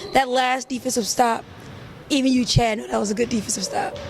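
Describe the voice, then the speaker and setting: Loud and fairly quick, a woman speaks at a high pitch with ordinary pitch variation over noticeable background noise. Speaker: basketball league statistician and analyst. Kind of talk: casual chat.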